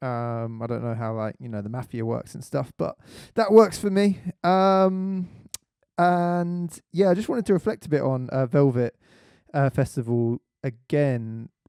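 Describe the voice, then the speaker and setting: In a British accent, a man with a dark, mellow voice of medium pitch makes very wide pitch swings and big jumps in loudness, the sound dry and close with no echo. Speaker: radio host, magazine editor. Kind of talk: radio show commentary; reading aloud. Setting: studio, live stream. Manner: halting, many fillers.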